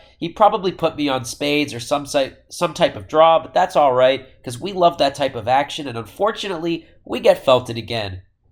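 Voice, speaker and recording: A man with an unremarkable speaking voice talks at a fairly quick pace and a fairly high pitch, with lively intonation and hardly any pauses. His loudness swings widely, on a very clean recording with a silent background. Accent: American. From Boston, Massachusetts. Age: 20s. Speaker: professional poker player. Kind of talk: casual vlog hand recap to camera.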